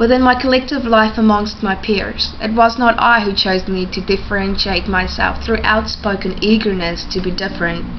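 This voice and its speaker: There is noticeable background noise as a woman speaks at medium pitch and a moderate pace with fairly even intonation. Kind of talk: spoken word poetry performance.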